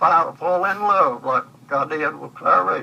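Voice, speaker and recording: A man speaks at a fairly slow pace with a Southern US accent. Noticeable background noise runs underneath. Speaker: grandfather recording memories. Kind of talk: personal reminiscence monologue. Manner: halting, repetitive.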